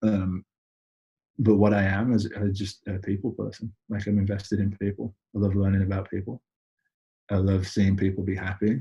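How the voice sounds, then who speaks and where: A man with an English accent speaks at a fairly quick pace in a fairly low, somewhat breathy voice. His tone is dark and mellow, his intonation monotone and flat. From United Kingdom. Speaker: entrepreneur. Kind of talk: interview conversation. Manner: casual, with many fillers and repeats.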